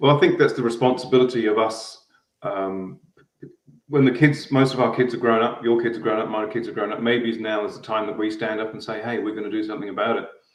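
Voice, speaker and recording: A man speaks very fast with an Australian accent in a monotone, flat delivery, and audible room echo surrounds his voice. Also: medium pitch for a man. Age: middle-aged. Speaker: guest. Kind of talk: casual conversation.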